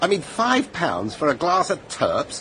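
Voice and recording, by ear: With faint background noise, a put-on character voice in a bright, sharp tone moves at a fairly slow pace through very wide pitch swings. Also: man, fairly high pitch for a man.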